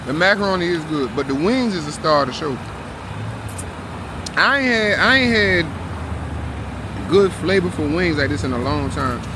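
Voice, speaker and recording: A man with a fairly high pitch and very wide pitch swings talks at a moderate pace, leaving long, frequent pauses, amid audible room echo and noticeable background noise. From US South. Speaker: vlogger. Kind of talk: casual food review vlog. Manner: relaxed, casual.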